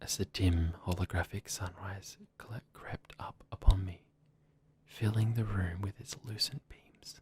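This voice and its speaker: A soft-spoken man talks at a very slow pace in a very deep, low pitch with ordinary pitch variation and a somewhat breathy sound. The recording is dry and close with no echo. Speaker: ASMR creator. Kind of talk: ASMR story reading.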